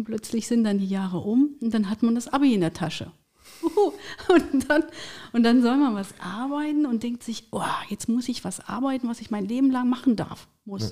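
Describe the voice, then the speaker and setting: At a middling tempo, the speaker's dark, mellow tone shows an ordinary amount of pitch movement. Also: woman, fairly high pitch for a woman. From Thuringia, eastern Germany. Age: 40s. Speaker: career coach and HR consultant. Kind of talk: casual interview.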